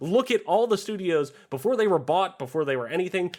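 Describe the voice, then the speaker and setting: The voice is loud and animated, racing at a very fast pace with very wide pitch swings. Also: man. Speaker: gaming podcast host. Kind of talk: casual chat.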